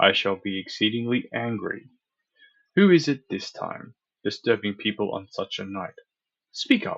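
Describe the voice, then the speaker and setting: A man does a gruff, put-on character voice at a medium pitch, with big swings in loudness. He goes at a moderate pace but leaves long, frequent pauses. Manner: gruff, suspicious, angry.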